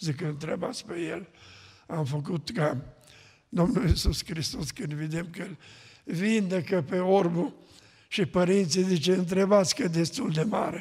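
A man speaks fairly slowly, his pitch high, with the background quiet. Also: ordinary pitch variation. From Romania, Mureș county; Romania. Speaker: pastor. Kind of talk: testimony. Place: church. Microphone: podium.

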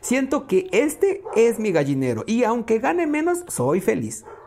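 A man talks over noticeable background noise. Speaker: podcast host reading a book aloud. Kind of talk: reading aloud.

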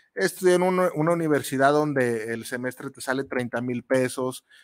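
A man with lively intonation keeps a moderate pace, captured on a very clean recording against a silent background. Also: dry, close sound with no echo. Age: 40s. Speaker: radio host and chef. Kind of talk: casual radio monologue. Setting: radio studio booth. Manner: animated, halting with repetitions.

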